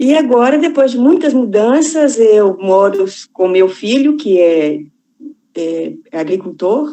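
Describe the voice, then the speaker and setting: Very slowly, a woman speaks at fairly high pitch with very wide pitch swings. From Minas Gerais, Brazil. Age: 60s. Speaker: farmer, retired bank employee. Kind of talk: online panel discussion.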